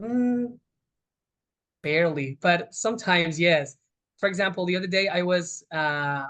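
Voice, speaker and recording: With lively intonation, a man talks in a Spanish accent. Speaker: Spanish teacher. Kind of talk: interview answer.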